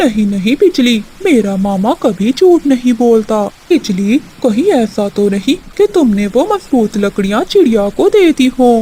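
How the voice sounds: A cartoonish character voice that sounds female is pitched fairly high. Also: moderate pace.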